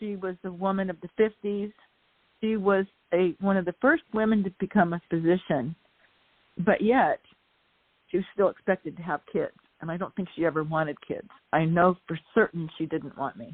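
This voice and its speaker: Moderate pace, ordinary pitch variation, long and frequent pauses. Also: woman, medium pitch for a woman. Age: 60s. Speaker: author. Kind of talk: casual chat.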